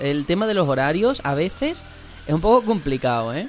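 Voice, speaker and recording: Noticeable background noise surrounds a man talking at a fairly quick pace. His pitch swings very widely. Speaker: podcast host. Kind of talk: casual chat.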